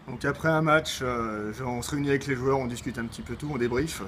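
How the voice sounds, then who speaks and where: With noticeable background noise around him, a man talks fairly quickly. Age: 20s. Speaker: amateur football player. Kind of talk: interview.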